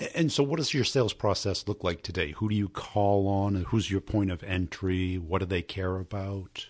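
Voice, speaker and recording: A man with a normal speaking voice, ordinary pitch variation and hardly any pauses, on a very clean recording with a silent background. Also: fairly low pitch for a man, moderate pace. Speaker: podcast host and sales coach. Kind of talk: podcast interview.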